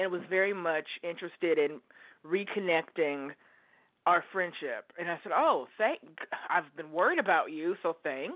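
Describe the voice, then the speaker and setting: Pitched fairly low, a woman speaks with an American accent and an unremarkable speaking voice. Her pitch variation is ordinary and her pace moderate. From Oregon, US. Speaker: caller. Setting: phone call.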